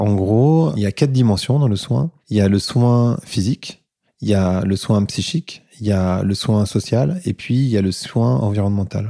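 Dry and close with no echo, a man's fairly low, dark, mellow voice moves at a fairly slow pace with lively intonation. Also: very even loudness. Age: 40s. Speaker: entrepreneur and podcast host. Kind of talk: interview conversation.

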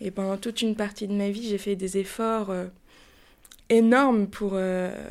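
A woman's medium-pitched, monotone voice with flat intonation, at a fairly slow pace broken by long, frequent pauses. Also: very clean recording, silent background. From Paris, France. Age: 30s. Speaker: podcast guest sharing personal story. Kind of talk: testimony. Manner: hesitant, with fillers.

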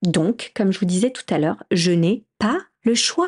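Speech here comes at a fairly slow pace. There is a somewhat breathy quality to it. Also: woman. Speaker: podcast host and entrepreneur. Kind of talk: solo podcast monologue. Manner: halting. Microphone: new microphone.

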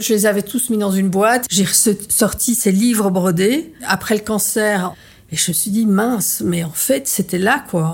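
Fairly slow, somewhat breathy speech from a woman. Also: medium pitch for a woman, ordinary pitch variation. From Belgium. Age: 50s. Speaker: artist and former journalist. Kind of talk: testimony. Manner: halting.

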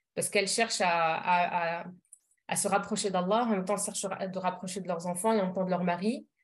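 A woman speaks at a very fast pace in a medium pitch, somewhat breathy, with fairly even intonation. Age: 30s. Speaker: parenting coach. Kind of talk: casual interview. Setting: podcast recording. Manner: hesitant, frequent fillers.

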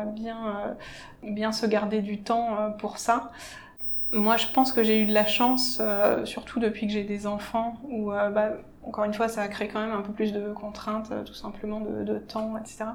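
In a room with audible echo, a woman speaks fairly slowly at a fairly high pitch in a flat monotone. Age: 40s. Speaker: civil engineer. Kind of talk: interview. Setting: office.

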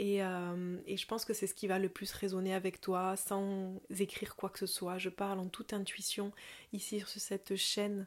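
A woman with a slight southern French accent, medium pitch, fairly slow pace and monotone, flat intonation, on a very clean recording with a silent background. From southern France, near Toulouse. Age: 30s. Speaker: yoga teacher. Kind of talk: casual podcast monologue.

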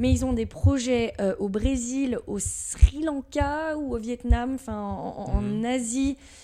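Speaking at a very slow pace with hardly any pauses, a woman shows big swings in loudness over noticeable background noise. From Paris region, France (Levallois-Perret). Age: 20s. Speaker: sales manager. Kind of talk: interview.

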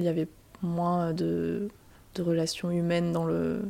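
This woman's voice has a dark, mellow tone. It sits at a fairly low pitch. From Alsace, Strasbourg. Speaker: marketing manager. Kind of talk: interview.

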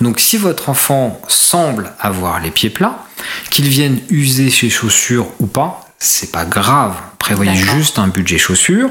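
The speaker talks at a very slow pace with very wide pitch swings over noticeable background noise. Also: man, medium pitch for a man. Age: 40s. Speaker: podiatrist and orthotist. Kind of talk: interview.

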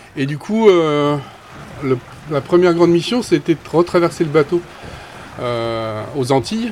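Amid noticeable background noise, a man with a fairly high pitch talks at a fairly slow pace, using lively intonation and long, frequent pauses. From Brittany, Saint-Malo. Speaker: boat skipper. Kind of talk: casual interview.

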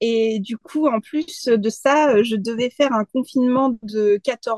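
The sound is dry and close with no echo. A woman with an ordinary speaking voice talks at a fairly high pitch with ordinary pitch variation. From France. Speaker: freelance graphic designer and community manager. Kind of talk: casual interview.

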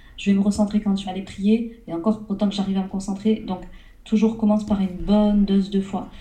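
A woman speaks at a fairly quick pace. Her intonation is monotone and flat, with noticeable background noise behind her. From southern France. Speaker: entrepreneur and business coach. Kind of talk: interview.

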